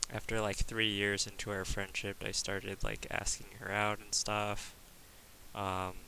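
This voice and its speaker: In a bright, sharp tone, a man with a fairly low pitch talks at a fairly slow pace with flat, monotone intonation. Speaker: gaming guide youtuber. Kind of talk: personal vlog update. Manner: halting.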